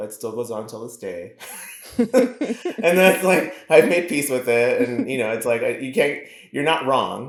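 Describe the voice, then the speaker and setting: A man speaking at a fairly slow pace with ordinary pitch variation. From US West Coast, East Los Angeles. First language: Spanish. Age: 40s. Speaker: hairstylist and community organizer. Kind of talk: podcast interview. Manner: halting, many restarts.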